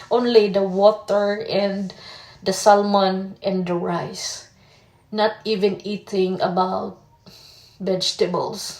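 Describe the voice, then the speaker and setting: Speaking very slowly with a Filipino accent, a woman keeps to a medium pitch. Background noise is noticeable. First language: Tagalog. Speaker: vlogger. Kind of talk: personal vlog testimony. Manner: halting.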